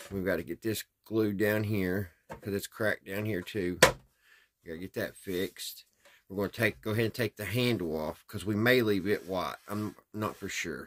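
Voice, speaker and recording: In a normal speaking voice, a man talks at a moderate pace, fairly low in pitch with fairly even intonation. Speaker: hobbyist radio restorer. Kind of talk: casual vlog chat. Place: workshop. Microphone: phone near.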